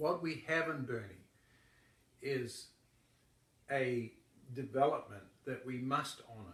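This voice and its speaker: A man in a New Zealand accent talks at a very slow pace, with long, frequent pauses. His pitch varies in an ordinary way while his loudness swings widely. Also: medium pitch for a man. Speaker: yoga teacher. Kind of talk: political endorsement talk.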